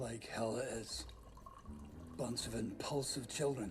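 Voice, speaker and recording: A put-on character voice speaks at a fairly slow pace over loud background noise. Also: man, medium pitch for a man. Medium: short film. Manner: gruff, grumbling.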